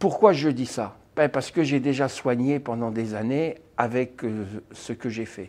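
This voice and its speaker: A man at medium pitch speaks at a fairly slow pace with ordinary pitch variation and big swings in loudness, in a very clean recording with a silent background. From France. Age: 60s. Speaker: therapist. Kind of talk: self-presentation to camera. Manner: halting, with frequent hesitations.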